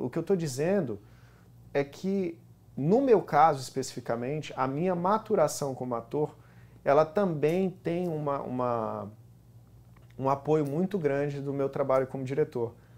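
Speaking at a fairly slow pace with long, frequent pauses, a man uses a fairly high pitch and ordinary pitch variation. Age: 30s. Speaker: actor. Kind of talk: talk show interview. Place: studio. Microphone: lapel.

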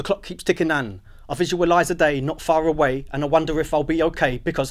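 With a London accent, a man talks at a very fast pace and a fairly high pitch against a quiet background. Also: ordinary pitch variation. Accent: British, London-area urban. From Luton, England. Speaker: spoken word poet. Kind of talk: spoken word poetry performance. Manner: rhythmic, rhymed delivery. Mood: reflective, rhythmic, wry. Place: studio.

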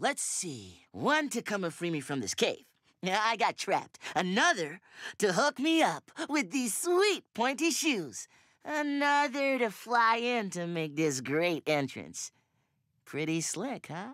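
In a cartoonish character voice, a man speaks at a high pitch with very wide pitch swings and a fairly slow pace, recorded very clean, dry and close, with a silent background and no echo.

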